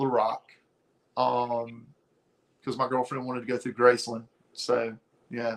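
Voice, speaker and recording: A man's moderate-paced speech carries a Southern US accent. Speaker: comic book cover artist. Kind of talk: interview conversation.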